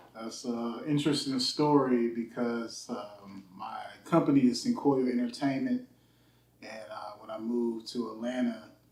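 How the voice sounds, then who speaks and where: A man with an American accent talks at a fairly slow pace, his intonation fairly even but his loudness swinging widely. Background noise is noticeable. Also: medium pitch for a man. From US Midwest, Youngstown, Ohio. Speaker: music engineer. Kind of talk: casual interview.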